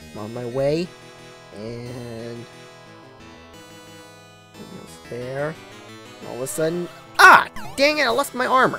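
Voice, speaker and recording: Someone speaks at a very slow pace with long, frequent pauses while music plays in the background. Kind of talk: gameplay commentary. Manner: occasional slight stuttering.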